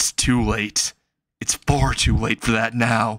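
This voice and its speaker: Putting on a raspy character voice, a man talks at a fairly slow pace with medium pitch, ordinary pitch variation and very even loudness, in a dry, close sound with no echo. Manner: angry.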